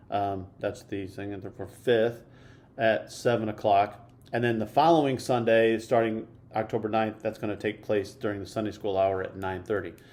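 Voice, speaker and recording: With an American accent, a man speaks at a moderate pace in a fairly low pitch and fairly even intonation, with audible room echo. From US Midwest. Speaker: church podcast host. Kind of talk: church announcements; casual interview chat.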